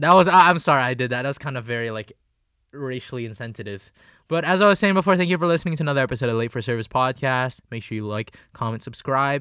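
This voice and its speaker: In a very clean recording with a silent background, a man talks very fast in a bright, sharp tone at a medium pitch, his intonation lively and his loudness swinging widely. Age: 20s. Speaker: podcast co-host. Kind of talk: casual chat.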